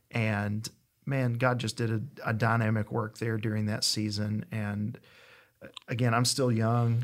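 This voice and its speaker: Speaking in an East Tennessee accent, a man keeps a medium pitch and a flat, monotone delivery at a fairly slow pace. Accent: Southern US (East Tennessee). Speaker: pastor. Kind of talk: casual interview.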